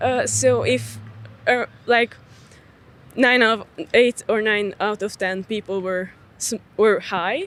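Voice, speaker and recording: Speaking with a Hungarian accent, a woman has a fairly high pitch and ordinary pitch variation. Her pace is very slow, with long, frequent pauses. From Hungarian minority in Cluj, Romania. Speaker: street interview participant. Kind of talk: casual debate. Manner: halting, many fillers.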